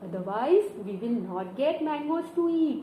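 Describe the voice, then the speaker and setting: A woman's high voice swings very widely in pitch amid noticeable background noise. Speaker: storyteller. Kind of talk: children's story narration with puppets. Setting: home video with hand puppets and picture book. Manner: upbeat, enthusiastic.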